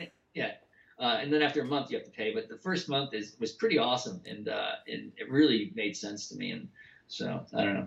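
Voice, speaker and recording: Mumbling at a fairly quick pace, a man speaks at a fairly high pitch with very wide pitch swings. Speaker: novelist. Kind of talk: casual chat. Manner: fast, excitable; mumbling, slurred.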